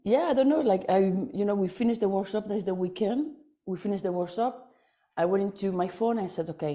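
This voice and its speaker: Dark, mellow tones from a woman at a middle pitch. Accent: non-native. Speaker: workshop attendee. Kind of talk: testimonial. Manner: halting, many fillers and repetitions.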